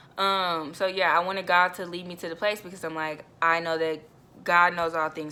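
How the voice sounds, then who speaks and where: A woman's bright, sharp, animated voice, fairly low-pitched, at a fairly quick pace, on a very clean recording with a silent background. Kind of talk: personal testimony. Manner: fast.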